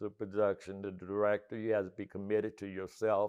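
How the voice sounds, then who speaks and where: A man with an American accent talks in a fairly low voice. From US Midwest, Cleveland, Ohio. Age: 80s+. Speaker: stage actor. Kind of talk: interview. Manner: halting, many fillers.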